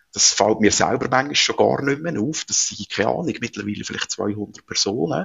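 A man with a fairly low pitch talks in very wide pitch swings. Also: moderate pace. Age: 40s. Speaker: entrepreneur. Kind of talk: interview.

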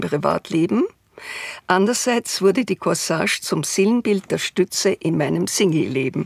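A woman speaks fairly slowly at a fairly low pitch, with vocal fry and lively intonation. The sound is dry and close, with no echo. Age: 80s+. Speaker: retired TV director. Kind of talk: interview, reminiscing.

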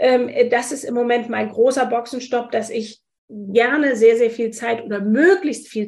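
A woman speaks at a fairly slow pace. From Hesse, Wiesbaden. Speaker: spice shop owner and entrepreneur. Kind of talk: interview. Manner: hesitant, many fillers.

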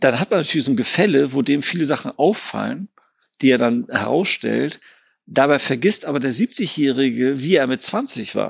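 A man uses a normal speaking voice, pitched fairly high, at a moderate speed. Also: ordinary pitch variation. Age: 50s. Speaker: psychiatrist. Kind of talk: expert interview.

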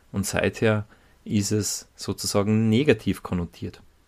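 A man talks at a fairly slow pace. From Salzburg, Austria. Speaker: podcast co-host. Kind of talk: casual chat. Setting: studio.

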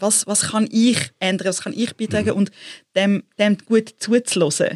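A woman talks in a plain, everyday voice at medium pitch with fairly even intonation. The sound is dry and close, with no echo. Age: 40s. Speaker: entrepreneur and creative consultant. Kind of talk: interview conversation.

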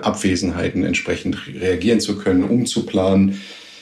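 There is noticeable background noise. Through it comes a man's voice with a fairly low pitch. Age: 50s. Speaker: plant manager. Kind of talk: pre-recorded interview.

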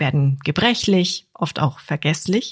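A woman speaks with lively intonation in a very deep, low voice that is somewhat breathy, recorded dry and close with no echo. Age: 40s. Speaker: podcast host. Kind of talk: scripted narration.

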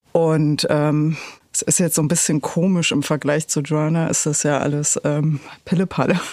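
Over a very clean recording with a silent background, a woman speaks at a fairly slow pace. Her pitch is very deep and low, with ordinary variation. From East Berlin, Germany. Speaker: author and blogger. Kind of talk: casual chat. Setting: studio.

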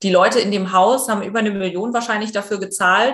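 A woman with a somewhat breathy, medium-pitched voice speaks at a fairly quick pace with fairly even intonation. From eastern Germany. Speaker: presenter and journalist. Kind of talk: interview.

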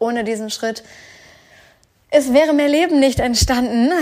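The voice belongs to a woman. She shows ordinary pitch variation. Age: 30s. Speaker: podcast host, online business coach. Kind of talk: casual personal monologue. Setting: at home on the couch.

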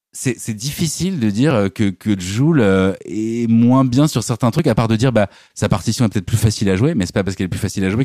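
On a very clean recording with a silent background, a man speaks fairly quickly in a dark, mellow tone. His pitch is fairly low with ordinary variation, and the sound is dry and close with no echo. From Normandy, France. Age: 40s. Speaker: YouTuber and musician. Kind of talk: casual chat.

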